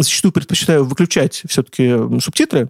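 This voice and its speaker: Very fast delivery with lively intonation, in a dry, close sound with no echo. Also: man. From Russia, Saratov. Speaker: video game journalist and editor. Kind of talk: casual interview. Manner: animated.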